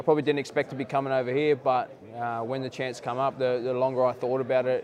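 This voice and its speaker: Talking at a very fast pace, a man with an Australian accent keeps a medium pitch and a monotone, flat intonation. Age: 20s. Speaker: rugby league player. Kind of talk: interview. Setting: playoffs media day at a stadium.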